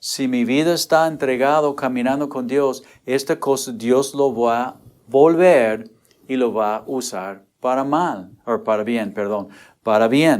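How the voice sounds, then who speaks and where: Here a man talks at a medium pitch with ordinary pitch variation and a very slow pace. The recording is very clean, with a silent background. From United States. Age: 60s. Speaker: pastor. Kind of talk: sermon. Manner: halting.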